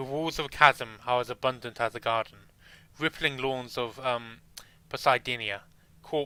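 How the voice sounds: A natural reading voice is heard here.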